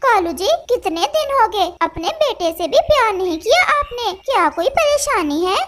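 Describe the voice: Using a cartoonish character voice, a woman speaks at an extremely high pitch with hardly any pauses. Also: moderate pace.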